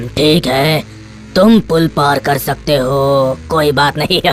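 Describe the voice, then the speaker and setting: Someone puts on a character voice at a low-to-middle pitch, talking at a moderate pace over clear background noise. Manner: shouting.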